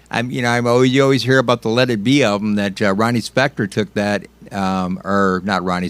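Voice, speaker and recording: The sound is dry and close with no echo as a man speaks fairly quickly in a fairly low pitch, his pitch varying in an ordinary way. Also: hardly any pauses. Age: 60s. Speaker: music radio host. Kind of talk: casual chat. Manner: halting.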